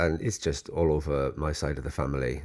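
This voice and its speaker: A man's very deep, low voice in a South Wales Valleys accent at a moderate pace. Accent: Welsh Valleys. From Wales, Welsh Valleys. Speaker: software developer. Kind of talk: casual family interview. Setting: family home.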